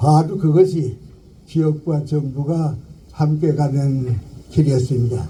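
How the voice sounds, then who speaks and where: Somewhat breathy and dark, mellow in tone, this voice moves at a very slow pace with fairly even intonation and long, frequent pauses. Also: man, fairly high pitch for a man. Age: 80s+. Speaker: philosopher, professor. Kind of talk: memorial eulogy speech. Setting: outdoors.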